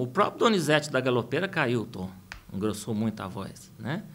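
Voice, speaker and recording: A man with a plain, everyday voice talks at a moderate pace and medium pitch. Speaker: singer and music producer. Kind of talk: interview.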